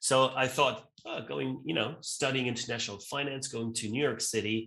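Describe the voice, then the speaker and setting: Using vocal fry, a man talks at a medium pitch and moderate pace with ordinary pitch variation. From Austria (Vienna, then Graz). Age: 40s. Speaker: event co-founder and CEO. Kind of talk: interview. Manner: casual, with many fillers and repetitions.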